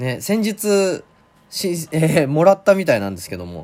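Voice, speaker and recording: A man speaks in a high voice at a moderate pace. His intonation is lively. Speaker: solo podcast host answering listener questions. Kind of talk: casual solo talk. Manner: hesitant, rusty.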